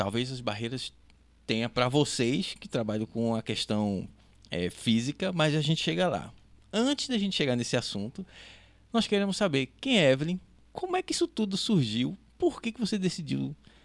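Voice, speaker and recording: Very wide pitch swings in a fairly high-pitched male voice. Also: moderate pace. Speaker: podcast host, marketing executive. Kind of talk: podcast interview.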